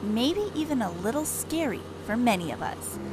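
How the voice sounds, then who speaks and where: A woman speaks over noticeable background noise. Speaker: news reporter and anchor. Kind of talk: TV news package narration.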